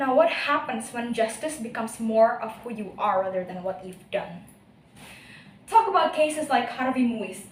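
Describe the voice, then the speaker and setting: A woman talks with an Indonesian accent. There is noticeable background noise and audible room echo. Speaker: university student speech contestant. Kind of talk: speech competition. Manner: animated.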